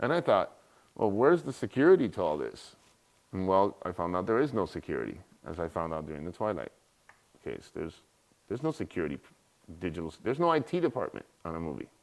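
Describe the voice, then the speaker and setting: In a very clean recording with a silent background, a man with an American accent talks at a fairly quick pace and fairly low pitch, with very wide pitch swings and long, frequent pauses. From US, Miami, Florida (Cuban family). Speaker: cyber security expert, guest lecturer. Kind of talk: guest lecture. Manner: casual, storytelling.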